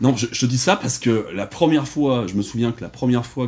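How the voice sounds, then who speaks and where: Speaking at a fairly quick pace, a man with a medium pitch and vocal fry comes through on a very clean recording with a silent background. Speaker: podcast host interviewer. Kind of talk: casual interview chat. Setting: indoors on a sofa, dim light.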